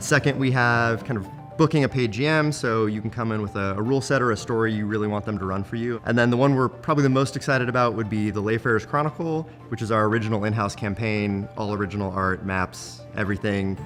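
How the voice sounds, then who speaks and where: The speech runs at a very fast pace with hardly any pauses and ordinary pitch variation. Music plays in the background. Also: man, medium pitch for a man. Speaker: brewpub CEO. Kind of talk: interview answer.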